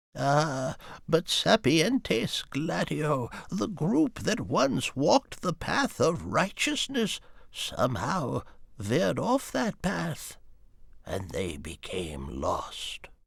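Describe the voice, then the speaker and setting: Using a put-on character voice, a man speaks very slowly at a fairly high pitch in a very clean recording with a silent background. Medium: video game. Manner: grave, storytelling.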